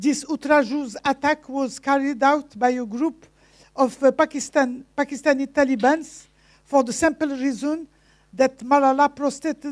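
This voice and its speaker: A woman with a non-native accent speaks at a high pitch and a moderate pace, with fairly even intonation. The sound is dry and close with no echo, on a very clean recording with a silent background. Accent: foreign accent in English. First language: not English (English is third language). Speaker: speaker at a conference. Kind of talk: conference speech. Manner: halting with many fillers.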